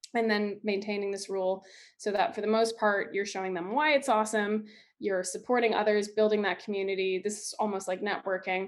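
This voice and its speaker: This woman talks fairly quickly at a medium pitch, her pitch moving up and down an ordinary amount. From Canada. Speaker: social media creator and filmmaker. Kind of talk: presentation. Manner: fast.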